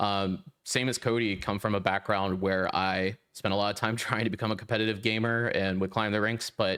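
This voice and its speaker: Here is a man with a normal speaking voice and fairly low pitch. He moves at a fairly quick pace with fairly even intonation. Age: 20s. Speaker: podcast co-host, software engineer. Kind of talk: casual interview chat.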